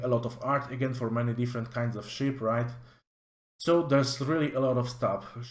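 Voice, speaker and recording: A man with a Polish accent talks at a moderate pace and a medium pitch. His intonation is monotone and flat, and his voice is somewhat breathy. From Poland. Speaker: tabletop game reviewer. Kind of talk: product review walkthrough. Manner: casual with many fillers.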